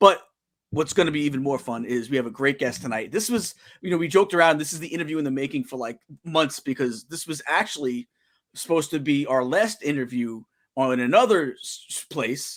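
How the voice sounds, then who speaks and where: A man's fairly high voice with a strong New York accent, fairly quick and with lively intonation, in a very clean recording with a silent background. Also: big swings in loudness. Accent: thick New York. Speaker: talk show host. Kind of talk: casual chat. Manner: halting, many fillers and repeats.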